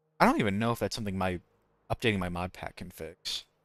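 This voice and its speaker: Very fast speech from a man, dry and close with no echo, over music in the background. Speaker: gaming streamer. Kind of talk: casual live-stream commentary. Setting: live stream. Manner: mumbling.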